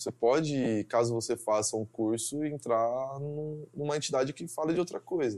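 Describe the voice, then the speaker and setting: With music in the background, someone talks at a moderate pace using ordinary pitch variation. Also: man, medium pitch for a man. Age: 20s. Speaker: engineering student. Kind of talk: interview.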